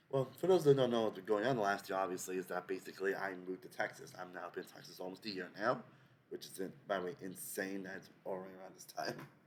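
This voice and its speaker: A man talks very fast in a fairly low pitch with ordinary pitch variation. His volume rises and falls sharply. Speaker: YouTuber. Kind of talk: casual vlog update.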